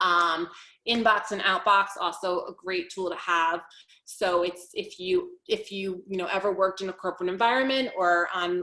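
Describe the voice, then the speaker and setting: The woman's voice has a bright, sharp tone and ordinary pitch variation. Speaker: executive functioning coach. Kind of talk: webinar presentation. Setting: online webinar. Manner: fast.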